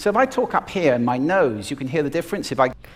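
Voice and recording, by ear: Putting on a character voice, a man talks very fast in a nasal, fairly high pitch with very wide pitch swings.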